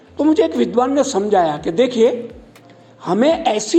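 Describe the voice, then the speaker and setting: A man with a Gujarati accent over noticeable background noise. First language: Gujarati (speaking Hindi). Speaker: Sanskrit scholar and broadcaster. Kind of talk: speech at a college event.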